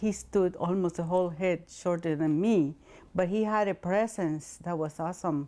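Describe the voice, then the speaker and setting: A woman with a Spanish accent speaks at a medium pitch and moderate pace, her tone dark and mellow with ordinary pitch variation. The recording is very clean, with a silent background. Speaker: interviewee in documentary, former hospital worker and translator. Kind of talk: interview testimony.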